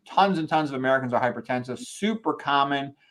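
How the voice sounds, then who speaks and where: A man talks at a middling rate in an unremarkable speaking voice. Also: quiet background. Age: 60s. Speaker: medical doctor. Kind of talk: lecture. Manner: casual, conversational.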